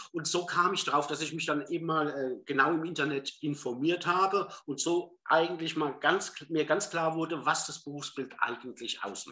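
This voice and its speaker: A man with an unremarkable speaking voice keeps a moderate pace and fairly even intonation, with hardly any pauses. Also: fairly high pitch for a man. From southern Hesse, Germany. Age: 50s. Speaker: former business executive training as psychotherapy practitioner. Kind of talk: interview.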